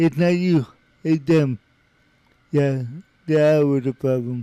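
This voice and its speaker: A man speaks with a fairly high pitch and a dark, mellow tone. The sound is dry and close, with no echo. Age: 60s. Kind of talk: reading aloud a biography with personal commentary. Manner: halting, with speech difficulty; frequent hesitations.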